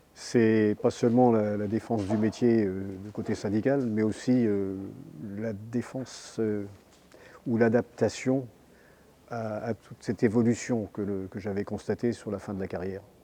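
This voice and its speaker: Flat and monotone, a man speaks with a dark, mellow tone at a fairly low pitch. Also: fairly slow pace. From France, Brittany (Lorient). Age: 70s. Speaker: retired sailor and fisherman, union activist. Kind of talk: interview testimony. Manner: hesitant, many fillers.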